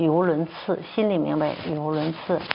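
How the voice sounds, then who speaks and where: A woman speaks with a very deep, low pitch and monotone, flat intonation. Noticeable background noise runs underneath. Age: 60s. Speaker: traditional Chinese medicine doctor and professor. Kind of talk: testimony. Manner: halting, many fillers.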